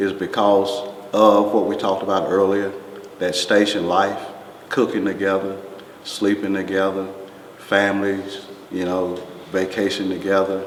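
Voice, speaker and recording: A man with a fairly low pitch talks at a fairly slow pace. Audible room echo and noticeable background noise surround his voice. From US South, Greensboro, North Carolina. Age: 60s. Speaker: retired fire chief. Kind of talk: oral history interview. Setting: museum.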